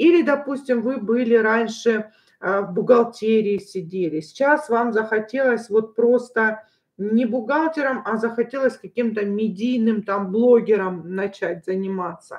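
Speaking at a fairly slow pace over a quiet background, a woman shows ordinary pitch variation. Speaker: tarot reader. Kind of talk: tarot reading livestream talk.

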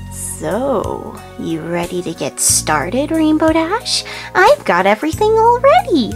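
A female-sounding put-on character voice, fairly slow, with clear music in the background. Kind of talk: creepypasta reading. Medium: read story. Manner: bubbly, gleeful.

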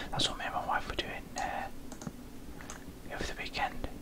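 The voice is whispering. Noticeable background noise is present. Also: man. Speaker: Minecraft gamer / YouTuber. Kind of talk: casual talk to camera, gaming commentary. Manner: whispered, slurred, rambling.

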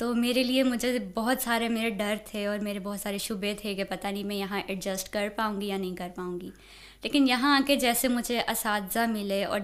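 A woman speaks with fairly even intonation. Her pitch is fairly high. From Pakistan, Punjab (Lahore, Okara); Punjab, Pakistan. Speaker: university student; interviewee. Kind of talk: interview. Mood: calm, warm. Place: studio. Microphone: studio mic.

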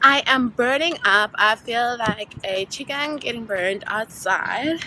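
Over light background noise, a woman with a high pitch speaks in a dry sound with no echo. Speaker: travel vlogger. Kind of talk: casual vlog chat. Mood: amused, storytelling, slightly exasperated. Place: street. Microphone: phone near.

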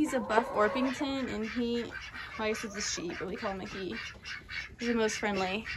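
A woman speaks over noticeable background noise. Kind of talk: casual vlog chat. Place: farm machine. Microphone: phone near.

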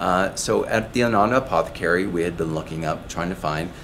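A man with a very deep, low pitch at a fairly quick pace, over light background noise. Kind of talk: explainer talk to camera. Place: shop.

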